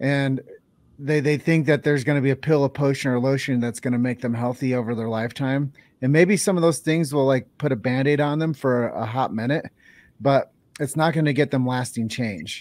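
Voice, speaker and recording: A man with an American accent has a normal speaking voice at medium pitch with fairly even intonation. He talks at a fairly quick pace on a very clean recording with a silent background. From Iowa. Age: 40s. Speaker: podcast host. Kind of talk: interview.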